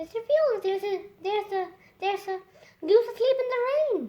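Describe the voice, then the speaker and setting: In a squeaky, put-on character voice pitched extremely high, a woman talks fairly quickly. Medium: read story. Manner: hesitant, muddled.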